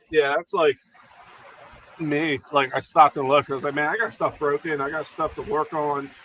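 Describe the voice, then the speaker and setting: A man speaks at a moderate pace with fairly high pitch and fairly even intonation. Noticeable background noise sits behind him. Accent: American. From New Jersey. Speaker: YouTuber, RC car hobbyist. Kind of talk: casual livestream chat. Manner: loud.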